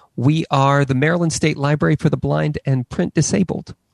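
A man's voice, a plain, everyday voice, medium in pitch, at a moderate pace with ordinary pitch variation, dry and close with no echo. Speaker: library director. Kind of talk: formal presentation. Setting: video call.

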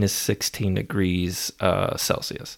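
A man with a fairly low voice and an American accent speaks in a relaxed tone on a very clean recording with a silent background. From Maryland, US. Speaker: podcast host. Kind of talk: casual solo monologue. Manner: relaxed, filler-heavy.

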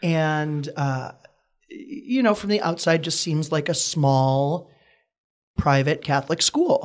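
In an American accent, a man speaks at a fairly high pitch and a very slow pace, with ordinary pitch variation. The recording is very clean, with a silent background. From US Midwest, Wisconsin. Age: 20s. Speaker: actor and comedian. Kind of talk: casual interview.

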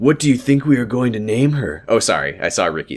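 Ordinary pitch variation shapes this plain reading aloud.

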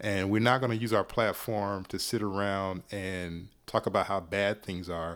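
This is a normal speaking voice from a man with a fairly low pitch and fairly even intonation. The recording is very clean with a silent background. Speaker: podcaster and hip-hop writer. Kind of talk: casual interview chat.

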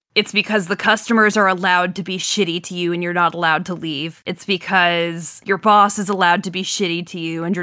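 The recording is very clean, with a silent background. A woman speaks in a fairly low pitch with a bright, sharp tone. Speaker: podcast co-host. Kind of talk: casual chat.

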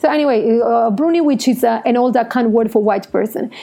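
A woman's fairly high voice with an Italian accent, fairly quick in pace and ordinary in pitch variation, over noticeable background noise. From Italy. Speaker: podcast host. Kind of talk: solo podcast monologue. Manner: halting.

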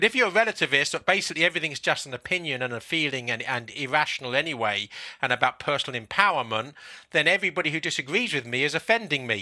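A very fast, lively man with a southern English accent, fairly high-pitched and bright, sharp in tone, on a very clean recording with a silent background. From London, England. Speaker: author and publisher. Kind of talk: casual interview.

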